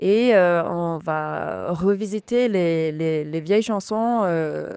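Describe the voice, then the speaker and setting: Dry, close sound with no echo, carrying a woman's fairly low, dark, mellow voice with ordinary pitch variation. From England, moved to Gers (south-west France) at 11. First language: English (speaking French). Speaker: singer. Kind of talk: radio interview. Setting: radio studio. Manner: halting, many hesitations.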